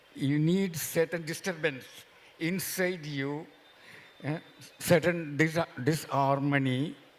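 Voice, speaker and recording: Very slow and marked by long, frequent pauses, a man with a Keralan accent speaks at a fairly high pitch with fairly even intonation. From India, Kerala (Mahe). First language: Malayalam. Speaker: novelist. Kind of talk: festival panel discussion.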